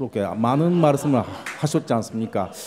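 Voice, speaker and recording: A man's dark, mellow tone with lively intonation. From Japan. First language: Japanese (speaking Korean). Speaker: panel discussant, visiting professor. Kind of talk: conference panel comment. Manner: halting, many fillers.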